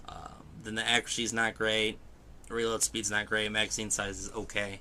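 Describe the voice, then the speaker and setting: Mumbling at a moderate pace, a man with a fairly low pitch has a bright, sharp tone. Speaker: gaming video host. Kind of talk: let's play commentary. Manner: soft-spoken.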